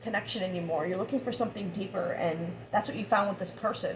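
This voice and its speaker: Over noticeable background noise, a woman speaks at a fairly quick pace, her medium pitch moving with ordinary variation. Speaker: tarot reader. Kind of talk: tarot reading monologue. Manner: halting, stuttering.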